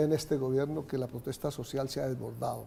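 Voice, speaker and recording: Somewhat breathy with a dark, mellow tone, a man speaks with ordinary pitch variation. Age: 70s. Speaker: social activist. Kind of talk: TV interview debate.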